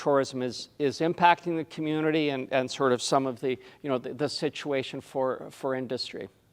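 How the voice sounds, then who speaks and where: With a Canadian accent, a man talks at a moderate pace in a fairly high pitch with ordinary pitch variation, on a very clean recording with a silent background. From Canada. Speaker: tourism consultant. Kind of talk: presentation. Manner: halting, many fillers.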